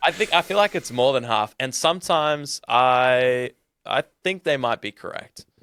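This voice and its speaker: Speaking with an Australian accent, a man has a medium pitch and a bright, sharp tone. He keeps a moderate pace with lively intonation in a dry, close sound with no echo. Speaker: podcast host. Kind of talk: casual interview chat.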